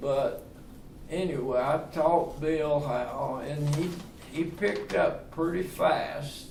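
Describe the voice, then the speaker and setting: A man with a Southern US accent speaks at a very slow pace, his pitch fairly high and its variation ordinary. Noticeable background noise and audible room echo fill the recording. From US South, Tennessee. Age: 80s+. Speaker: retirement community resident. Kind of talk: casual interview.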